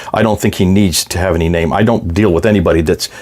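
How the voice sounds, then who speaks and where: A man talks at a very fast pace in a fairly low voice. Noticeable background noise is present. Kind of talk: video lecture with slides. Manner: conversational, some stammering.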